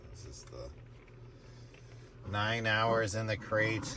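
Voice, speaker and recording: Speaking at a very slow pace, a man swings widely in loudness, with audible room echo and noticeable background noise. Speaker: tarot reader. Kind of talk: casual tarot reading stream.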